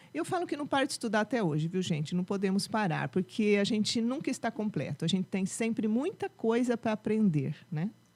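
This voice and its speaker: Ordinary pitch variation marks this woman's dark, mellow tone. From mixed: Rio de Janeiro, São Paulo, Minas Gerais, settled in Piracicaba. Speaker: music teacher and music school founder. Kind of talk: podcast interview. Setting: studio.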